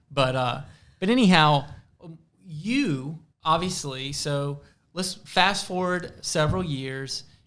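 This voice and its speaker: In a Southern US accent, a man speaks very slowly with long, frequent pauses. His pitch is fairly high, with ordinary variation. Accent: Southern American. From US South. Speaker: podcast host. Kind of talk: podcast interview.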